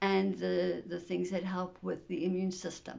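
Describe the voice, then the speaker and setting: A woman speaks at medium pitch. Her voice has vocal fry. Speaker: video blogger sharing illness journey. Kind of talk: personal vlog talk to camera. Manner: hesitant, with fillers.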